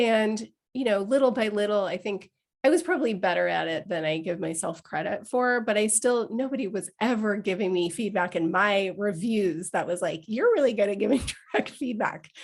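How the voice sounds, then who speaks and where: A woman's medium-pitched voice, with ordinary pitch variation, moves at a fairly quick clip. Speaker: leadership coach. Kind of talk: live webinar talk.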